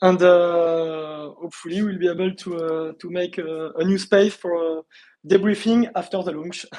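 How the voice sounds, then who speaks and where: With a French accent, a man speaks at a moderate pace in a high pitch. His tone is dark and mellow, and his intonation is fairly even. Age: 40s. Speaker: startup founder. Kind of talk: interview. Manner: halting.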